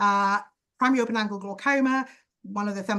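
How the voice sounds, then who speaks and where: A woman's medium-pitched voice, bright and sharp in tone, at a very fast pace with ordinary pitch variation. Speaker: ophthalmologist teaching optometrists. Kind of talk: lecture.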